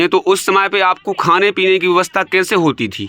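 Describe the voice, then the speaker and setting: Noticeable background noise surrounds a man's high-pitched voice, recorded dry and close with no echo. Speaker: interviewer. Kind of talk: interview questions.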